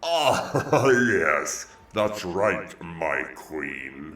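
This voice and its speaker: A man speaks in a put-on character voice. His pitch is very deep and low. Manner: sarcastic grunting.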